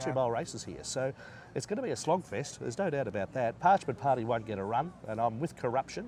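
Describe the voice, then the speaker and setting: A man with an Australian accent, medium pitch, lively intonation and a fairly quick pace. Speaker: horse race caller. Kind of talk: interview answer. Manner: enthusiastic, casual.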